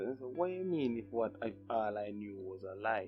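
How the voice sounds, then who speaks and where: Music plays in the background as a man speaks at a moderate pace with a Jamaican accent. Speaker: vlogger. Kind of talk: casual talk to camera.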